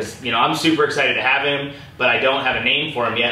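With audible echo from the room, a man talks fairly quickly. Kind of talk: casual vlog chat. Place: home room.

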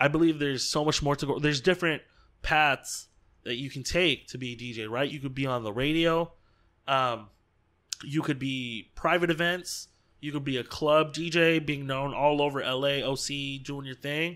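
A man with a fairly high pitch and a bright, sharp tone, fairly even intonation, a moderate pace and a quiet background. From Southern California. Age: 20s. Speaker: DJ; podcast guest, DJ. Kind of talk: casual chat. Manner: laid-back, uses filler words a lot. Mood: relaxed, reflective. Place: home room. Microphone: studio mic.

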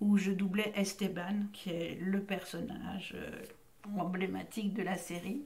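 A woman speaks at a very slow pace. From Belgium, Brussels. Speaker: voice actress. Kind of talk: interview. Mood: warm, relaxed, reminiscing. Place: studio.

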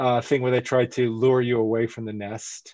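With an American accent, a man speaks at a medium pitch in a dry sound with no echo and a quiet background. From South Florida. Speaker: biology professor and wildlife photographer; biology professor. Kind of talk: virtual presentation talk. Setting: video call. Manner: halting, many fillers. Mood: friendly, enthusiastic. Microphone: headset.

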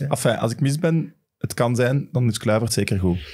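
Against a quiet background, a man talks very fast at a medium pitch in a dark, mellow tone. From Flanders, Belgium. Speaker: football podcast host. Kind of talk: casual chat. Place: studio. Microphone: studio mic.

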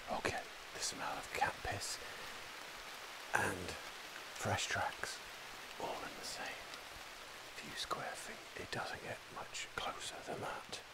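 Loud background noise sits behind a man who talks at a very slow pace with long, frequent pauses. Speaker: wildlife biologist and tracker. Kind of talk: field commentary to camera. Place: forest. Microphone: phone near.

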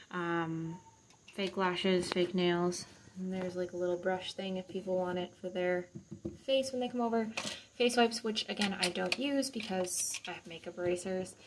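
A woman talks at a moderate pace with ordinary pitch variation. Noticeable background noise is present. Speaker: home vlogger. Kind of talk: casual vlog chat. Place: bathroom. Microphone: phone near.

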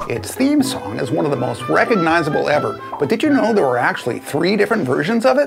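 A man's voice over clear music in the background. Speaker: classic TV trivia host. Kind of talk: trivia commentary to camera. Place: home room. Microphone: lapel.

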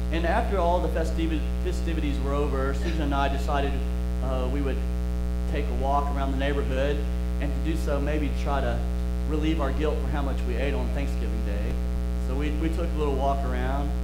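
Loud background noise surrounds a voice talking fairly quickly. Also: man. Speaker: preacher. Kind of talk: sermon. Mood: calm storytelling. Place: church.

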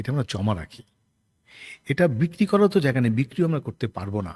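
A man's fairly high, somewhat breathy voice with very wide pitch swings, in a dry, close sound with no echo and a very clean recording with a silent background. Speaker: stage actor. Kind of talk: interview.

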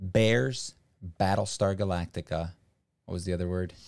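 Speaking at a moderate pace in an American accent, the voice has ordinary pitch variation and long, frequent pauses over a quiet background. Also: man. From US, raised by Brazilian parents. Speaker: streamer. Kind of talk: casual chat. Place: home room. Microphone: studio mic.

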